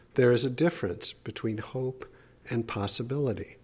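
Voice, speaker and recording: Pitch shifts in an ordinary way. There is a somewhat breathy quality to the voice. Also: man. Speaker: A L S patient. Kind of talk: interview.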